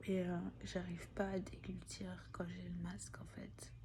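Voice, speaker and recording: A woman speaks with audible room echo. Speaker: vlogger with long covid. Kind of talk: personal video diary. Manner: halting, many hesitations.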